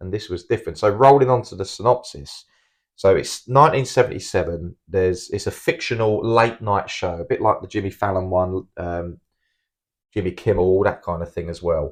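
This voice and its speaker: Against a quiet background, a man with a British accent talks at a fairly quick pace, with ordinary pitch variation and big swings in loudness. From UK. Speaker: film review podcast co-host. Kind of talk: casual chat. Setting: home recording.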